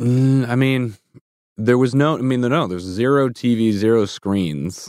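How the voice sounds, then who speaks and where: In a plain, everyday voice with an American accent, a man talks at medium pitch with lively intonation, the sound dry and close with no echo. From US Midwest (Chicago suburbs and Minneapolis). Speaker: comedian and performer. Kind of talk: casual chat. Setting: studio.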